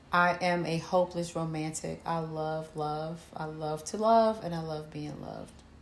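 A woman with a Philadelphia accent speaks at a very deep, low pitch with fairly even intonation. Her loudness swings widely as she goes at a moderate pace with hardly any pauses. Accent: Philadelphia-area American. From Camden, New Jersey. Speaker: podcast co-host. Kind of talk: casual chat.

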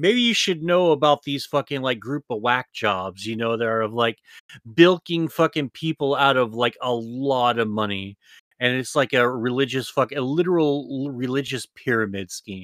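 A man's medium-pitched voice with an animated tone, at a moderate pace, in a dry, close recording with no echo. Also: ordinary pitch variation, very clean recording, silent background. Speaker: podcast co-host. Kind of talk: casual banter, podcast chat. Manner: crude, animated.

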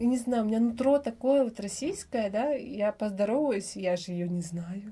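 At a moderate pace, a woman with a fairly high pitch, lively intonation and a dark, mellow, somewhat breathy tone is speaking. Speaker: mother and vitamin business owner living abroad. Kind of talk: casual interview chat.

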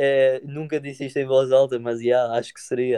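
Dry and close with no echo, the recording captures a man speaking at a moderate pace in a fairly high pitch. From Madeira, Portugal. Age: 20s. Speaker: musician. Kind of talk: casual interview. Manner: halting, many fillers.

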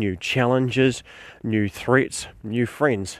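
Recorded very cleanly against a silent background, a man with a New Zealand accent talks at a fairly slow pace, his medium pitch held in fairly even intonation. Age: 40s. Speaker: podcast host and tabletop game master. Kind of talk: solo instructional podcast monologue. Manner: halting with frequent fillers.

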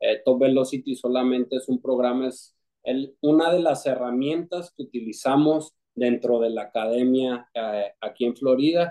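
A man's unremarkable speaking voice at a medium pitch, with a fairly slow pace and fairly even intonation. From Mexico City, Mexico. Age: 30s. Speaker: former professional baseball pitcher. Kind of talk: casual interview.

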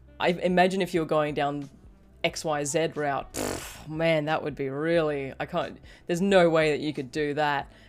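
With music in the background, a woman talks at a moderate pace in a very deep, low voice with monotone, flat intonation. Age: 30s. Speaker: podcast host. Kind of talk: casual interview chat.

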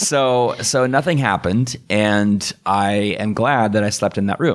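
A man speaks in a normal speaking voice with ordinary pitch variation at a fairly slow pace. The recording is very clean, with a silent background. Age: 30s. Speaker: Lutheran pastor. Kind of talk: casual chat.

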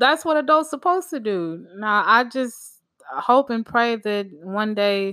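A woman speaks at a slow pace with lively intonation. Her tone is fairly bright.

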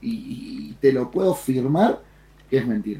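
A man's fairly high voice comes across with a dark, mellow tone and is somewhat breathy. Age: 40s. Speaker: trader and streamer. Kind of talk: casual chat.

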